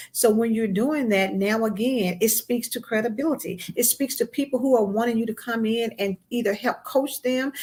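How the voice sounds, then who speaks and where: A woman speaks in a plain, everyday voice with a fairly high pitch. Her pace is moderate and her pitch varies in an ordinary way. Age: 50s. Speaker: magazine editor and podcast host. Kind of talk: interview on a live broadcast. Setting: online live stream.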